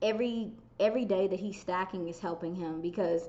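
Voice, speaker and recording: This woman has a medium pitch. She speaks at a moderate pace. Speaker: football content creator. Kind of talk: casual chat.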